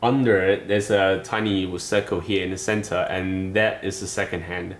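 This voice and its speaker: A man's fairly low voice with a non-native accent and music playing behind it. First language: not English. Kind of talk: casual product review to camera. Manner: hesitant, casual.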